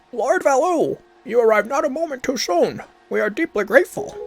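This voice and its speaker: Faint music plays in the background as a man does a put-on character voice at an extremely high pitch. He talks at a fairly quick pace. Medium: game stream. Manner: formal, respectful.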